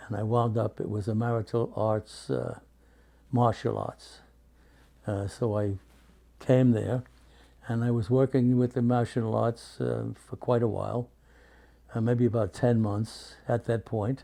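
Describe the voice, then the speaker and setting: A dark, mellow tone in a New York accent, monotone and flat, at a fairly slow pace with long, frequent pauses. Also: man, medium pitch for a man. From New York City, Brooklyn. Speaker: war veteran. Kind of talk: interview. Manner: halting.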